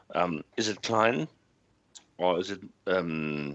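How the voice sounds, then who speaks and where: This is a man speaking. He has a German accent. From Germany. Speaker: football podcast panelist. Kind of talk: casual chat.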